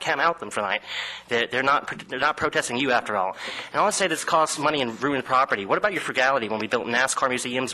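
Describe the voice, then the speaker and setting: A man speaks at a very fast pace with lively intonation. Noticeable background noise runs underneath. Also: medium pitch for a man. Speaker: war veteran. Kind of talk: public comment speech.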